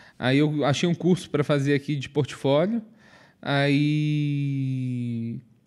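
On a very clean recording with a silent background, a man speaks at a very slow pace. His pitch is fairly high, with ordinary variation. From Minas Gerais, Brazil (Viçosa). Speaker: comedian and podcast co-host. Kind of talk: casual chat.

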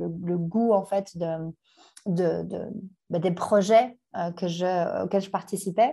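A woman's dark, mellow voice, very slow, with fairly even intonation. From Belgium, Brussels (Anderlecht). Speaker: startup founder. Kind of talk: interview.

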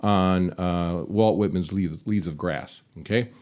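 The man has an unremarkable speaking voice with a fairly low pitch. He talks at a moderate pace. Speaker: podcast moderator and lecturer. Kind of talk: panel discussion. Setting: studio.

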